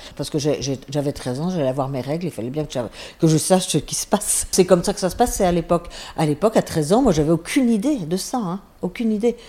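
Speaking very fast, a woman with a fairly low pitch and a dark, mellow tone makes very wide pitch swings. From France, Savoie (Chambéry). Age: 70s. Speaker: former nun. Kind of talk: testimony. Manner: halting.

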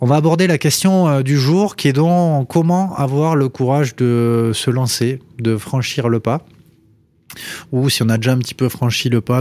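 A man talks at a medium pitch with ordinary pitch variation. His tone is dark and mellow. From Toulouse area, southwest France. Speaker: podcast host, startup co-founder. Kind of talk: interview.

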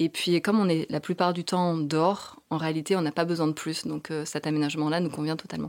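A woman with a very deep, low pitch talks at a fairly quick pace in a monotone, flat way on a very clean recording with a silent background. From southern France. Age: 30s. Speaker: architect turned van traveller and author. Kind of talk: interview.

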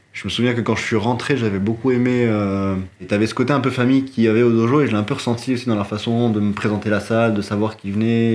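Very fast speech from a man with a fairly low pitch, over noticeable background noise. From Morocco. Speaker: martial arts practitioner. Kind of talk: casual chat.

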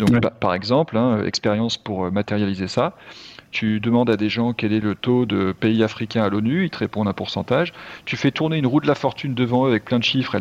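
Captured in a dry, close sound with no echo, a man talks at a very fast pace and medium pitch with ordinary pitch variation. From France. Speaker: entrepreneur. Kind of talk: casual chat. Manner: hesitant, many fillers.

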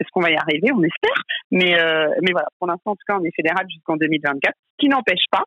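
Her voice has a fairly low pitch and lively intonation. The woman keeps a fairly quick pace. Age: 30s. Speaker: head of a women's sports league. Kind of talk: interview. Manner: halting.

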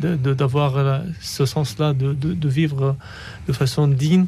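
A man with an Arabic accent, fairly high in pitch, dark and mellow in tone, somewhat breathy, at a very slow pace. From Syria. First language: Arabic (speaking French). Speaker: refugee and philosopher, author. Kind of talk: radio interview. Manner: halting, repeating words.

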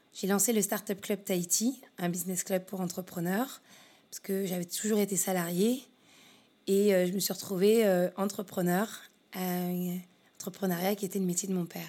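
In a dark, mellow tone, a woman at medium pitch speaks at a moderate pace with monotone, flat intonation and long, frequent pauses. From Paris region, France. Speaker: business consultant. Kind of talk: interview. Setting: her office.

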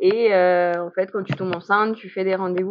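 A woman's medium-pitched, monotone voice with flat intonation at a moderate pace. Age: 30s. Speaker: pregnant woman with type 1 diabetes. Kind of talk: testimony. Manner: halting.

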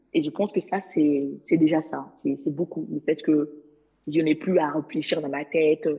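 A woman talks at a moderate pace in a very deep, low pitch with a dark, mellow tone. Her speech has long, frequent pauses. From Mali. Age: 20s. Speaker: legal assistant. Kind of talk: interview. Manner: animated.

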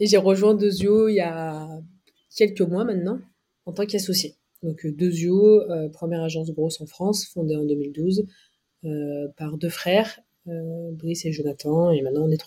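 A somewhat breathy, dark and mellow voice at a fairly slow pace, with long, frequent pauses and big swings in loudness. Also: woman, fairly low pitch for a woman, ordinary pitch variation. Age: 30s. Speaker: marketing agency partner. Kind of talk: casual interview.

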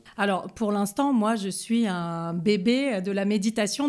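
This is a very clean recording over a silent background. The woman's voice sits at a medium pitch. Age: 40s. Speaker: police commissioner. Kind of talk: testimony. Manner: halting.

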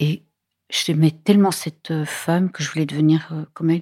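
On a very clean recording with a silent background and a dry, close sound with no echo, a woman speaks very slowly in a very deep, low, dark and mellow voice with monotone, flat intonation. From Belgium, near the Dutch border. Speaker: film director. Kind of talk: interview.

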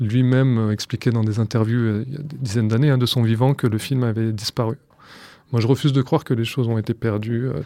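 On a very clean recording with a silent background, a man speaks in an unremarkable speaking voice at medium pitch, moving at a fairly quick pace with fairly even intonation. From France. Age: 30s. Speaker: archive researcher. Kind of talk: documentary interview.

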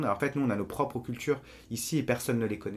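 At a very fast pace, a man talks in a medium pitch that shows ordinary pitch variation. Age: 30s. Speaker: journalist and university teacher, activist. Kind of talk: casual interview. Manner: halting, many repetitions and fillers.

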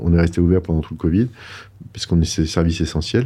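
In a very deep, low voice, a man talks at a very fast pace. His intonation stays monotone and flat. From France, Paris. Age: middle-aged. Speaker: entrepreneur. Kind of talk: casual interview.

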